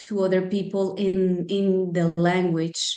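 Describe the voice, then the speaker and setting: In a Spanish accent, a woman speaks at a medium pitch. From Colombia. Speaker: life coach. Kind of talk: casual interview. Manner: hesitant, many fillers.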